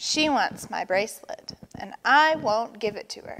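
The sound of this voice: A woman does a put-on character voice, fairly high and fairly bright, with lively intonation at a fairly slow pace.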